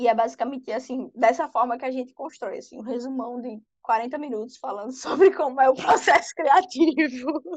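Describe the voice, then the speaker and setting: A high-pitched woman at a moderate pace, with hardly any pauses and big swings in loudness. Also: ordinary pitch variation. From Brazil, Pernambuco (Recife), born in Ceará. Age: 20s. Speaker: fan fiction author. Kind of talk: casual interview chat.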